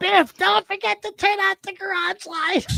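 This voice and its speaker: This female-sounding voice is a put-on character voice pitched extremely high for a woman. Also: moderate pace. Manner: nagging, reminding.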